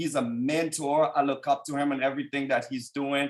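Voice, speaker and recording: A man with a strong Haitian accent, moderate pace and ordinary pitch variation. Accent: thick Haitian. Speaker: business executive and team leader. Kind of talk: motivational testimony on a conference call. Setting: conference call.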